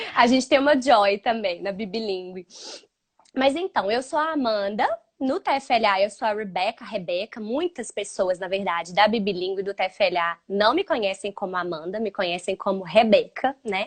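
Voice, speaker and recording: With a strong Minas Gerais accent, a woman at medium pitch talks at a moderate pace with lively intonation, the sound dry and close with no echo. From Minas Gerais, Brazil (Belo Horizonte). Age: 30s. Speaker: English teacher for children. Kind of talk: casual chat. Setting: live stream.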